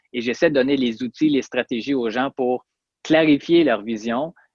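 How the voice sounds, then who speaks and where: In a Quebec accent, a man talks at a medium pitch with fairly even intonation. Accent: Québécois French. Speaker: chiropractor and personal development podcaster. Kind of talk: interview. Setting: remote interview from Montreal.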